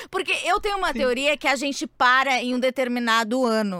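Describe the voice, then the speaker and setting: A woman speaks in a bright, sharp, animated tone at a moderate pace. The sound is dry and close with no echo. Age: 30s. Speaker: podcast host. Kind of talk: casual chat.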